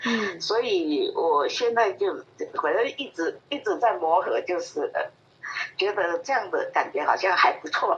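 Noticeable background noise accompanies a woman who talks at a fairly slow pace. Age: 80s+. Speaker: grandmother. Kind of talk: interview. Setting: phone call. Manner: lively.

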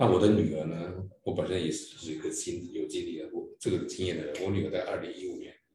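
The speech moves at a fairly quick pace, and audible room echo surrounds it. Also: man. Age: 60s. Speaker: district governor of a service club. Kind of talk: interview.

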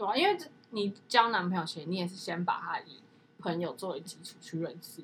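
A woman's medium-pitched voice, a normal speaking voice, with ordinary pitch variation, big swings in loudness and a fairly quick pace. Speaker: podcast co-host. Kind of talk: casual chat.

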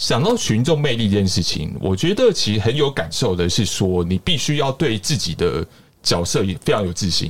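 At a moderate pace, a man speaks in a fairly low pitch with very wide pitch swings. His loudness stays very even. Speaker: tap dancer and street performer. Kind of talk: casual interview chat. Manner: energetic, projecting loudly; animated, theatrical.

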